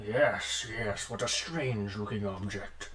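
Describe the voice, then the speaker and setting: A man's put-on character voice, fairly low in pitch and fairly slow, over loud background noise. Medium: actual play.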